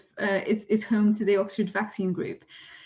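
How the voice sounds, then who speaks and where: A somewhat breathy, medium-pitched woman with a Polish accent, at a fairly quick pace. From Poland. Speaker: zoologist and science communicator. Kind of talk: webinar presentation. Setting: online webinar. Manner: frequent fillers and restarts.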